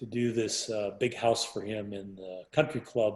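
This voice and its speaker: A man speaks at a fairly slow pace and a medium pitch. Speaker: architect. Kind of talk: interview answer. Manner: soft-spoken.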